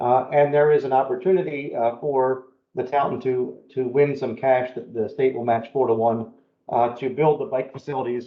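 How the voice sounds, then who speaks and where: At a moderate pace, a man talks at medium pitch with fairly even intonation. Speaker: planning consultant presenting to town council. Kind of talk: presentation at council work session. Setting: town council meeting. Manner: hesitant with many fillers.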